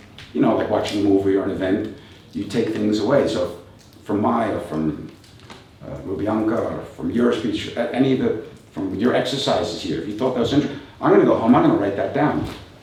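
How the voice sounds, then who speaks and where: Over noticeable background noise and audible room echo, a man with a fairly low voice speaks at a fairly quick pace, taking long, frequent pauses. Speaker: kung fu and tai chi teacher. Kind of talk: motivational talk.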